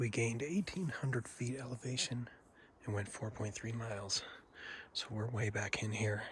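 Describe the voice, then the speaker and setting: Somewhat breathy, a man talks at a moderate pace with medium pitch and ordinary pitch variation. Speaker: hunter and outdoor vlogger. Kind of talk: outdoor vlog narration. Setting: outdoors in the backcountry. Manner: whispering.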